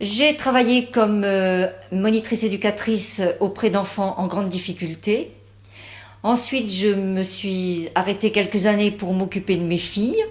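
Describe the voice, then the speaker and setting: A woman at a fairly slow pace and medium pitch with fairly even intonation, in a very clean recording with a silent background. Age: 60s. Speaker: parliamentary candidate. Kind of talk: campaign statement. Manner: halting, many fillers.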